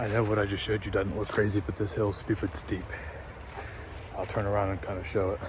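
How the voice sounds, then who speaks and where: Through noticeable background noise, a man with fairly low pitch talks in a monotone, flat intonation at a very fast pace, broken by long, frequent pauses. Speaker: hunting vlogger. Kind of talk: casual vlog narration. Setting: outdoors. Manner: quiet.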